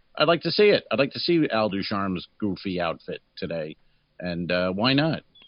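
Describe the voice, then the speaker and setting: A man's fairly low voice at a moderate pace, with very wide pitch swings. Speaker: comedy podcast co-host. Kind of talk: casual chat.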